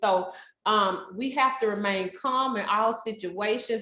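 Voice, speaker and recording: A woman's fairly high voice with ordinary pitch variation, plus audible room echo. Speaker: behavior specialist trainer. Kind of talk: training presentation. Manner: loud.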